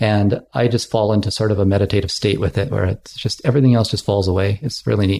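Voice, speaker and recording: A man's fairly low, dark and mellow voice, somewhat breathy, at a very fast pace with hardly any pauses, very even loudness and ordinary pitch variation. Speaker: ferry terminal worker and former radio personality. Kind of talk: casual interview conversation. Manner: animated, jokey.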